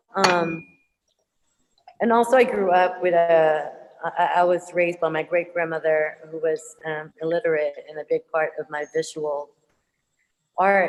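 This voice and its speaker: In a Filipino accent, a woman speaks in a fairly low voice with ordinary pitch variation and long, frequent pauses. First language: Tagalog. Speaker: visual artist, muralist. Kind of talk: panel Q&A answer. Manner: halting, many fillers.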